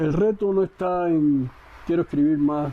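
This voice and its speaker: A man with a Cuban accent at a fairly slow pace, with noticeable background noise. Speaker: poet. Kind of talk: interview answer. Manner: conversational, direct.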